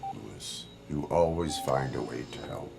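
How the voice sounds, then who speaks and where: A man adopts a put-on character voice pitched very deep and low, with clear noise behind him. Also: moderate pace. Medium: machinima. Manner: flat, measured.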